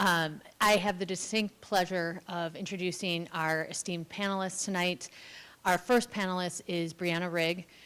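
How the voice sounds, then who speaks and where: On a very clean recording with a silent background, a woman speaks at a moderate pace in a medium pitch with fairly even intonation. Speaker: event moderator. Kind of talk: formal panel introductions. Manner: loud.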